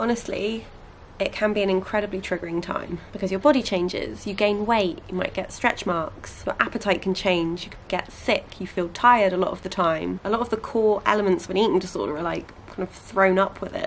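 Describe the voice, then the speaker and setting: Medium female pitch against noticeable background noise. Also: ordinary pitch variation, fairly quick pace. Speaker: vlogger. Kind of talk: casual vlog. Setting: at home and garden.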